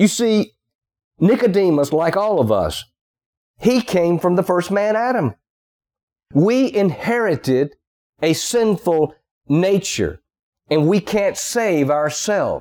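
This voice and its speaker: Speaking at a very slow pace with long, frequent pauses, a man with a Southern US accent has a high pitch and a dark, mellow tone. His intonation is lively while his loudness stays very even. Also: very clean recording, silent background. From US South. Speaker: preacher. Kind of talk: sermon.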